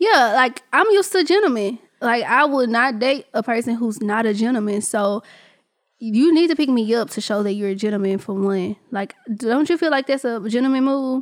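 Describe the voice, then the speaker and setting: With a normal speaking voice, a woman at a fairly high pitch talks at a moderate pace with lively intonation. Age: 20s. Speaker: podcast host. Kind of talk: casual chat.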